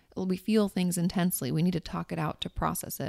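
A woman speaks at a fairly quick pace in an ordinary speaking voice, fairly low-pitched with ordinary pitch variation. The recording is very clean and silent in the background, with a dry, close sound and no echo. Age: 30s. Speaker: therapist. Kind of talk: casual chat.

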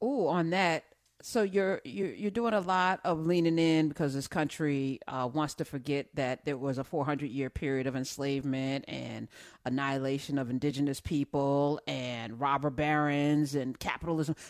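A woman speaks with a very deep, low pitch. Her pace is moderate and her pitch varies in an ordinary way. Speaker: radio talk show host. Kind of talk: casual interview with call-ins. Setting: studio. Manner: animated.

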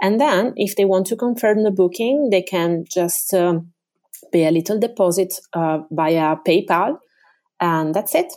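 Female speech at medium pitch with an Italian accent, dark and mellow in tone, at a fairly slow pace, lively in intonation and very even in loudness. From Venice area, Italy. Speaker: tour guide. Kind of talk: interview.

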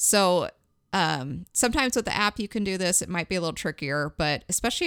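A woman with a fairly low pitch talks at a fairly quick pace with ordinary pitch variation, and it is a plain, everyday voice. The recording is very clean with a silent background and a dry, close sound with no echo. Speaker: podcast host. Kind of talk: casual chat.

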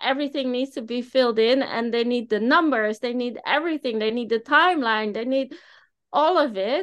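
With a Dutch accent, a woman speaks at a fairly quick pace in a high pitch with ordinary pitch variation against a quiet background. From Netherlands. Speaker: business owner. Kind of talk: interview.

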